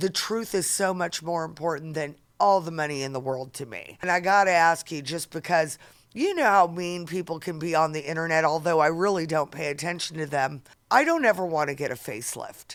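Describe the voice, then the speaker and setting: A woman with a plain, everyday voice speaks at a fairly quick pace, her pitch fairly low with ordinary variation. The recording is very clean, with a silent background. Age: 50s. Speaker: podcast host. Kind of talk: casual interview.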